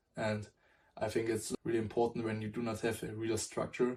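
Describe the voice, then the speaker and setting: A man with a non-native accent speaks at medium pitch and a moderate pace. His tone is dark, mellow and somewhat breathy, with fairly even intonation. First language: not English. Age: 20s. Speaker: self-improvement vlogger. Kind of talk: motivational talk to camera. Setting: at a whiteboard. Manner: halting, with self-corrections.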